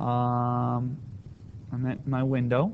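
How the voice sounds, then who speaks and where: A mumbling man. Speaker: math teacher. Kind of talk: tutorial.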